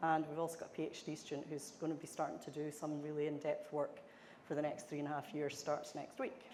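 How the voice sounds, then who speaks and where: Audible room echo surrounds a woman with a very deep, low pitch who speaks very fast in a flat monotone. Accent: Scottish. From Scotland. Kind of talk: conference presentation.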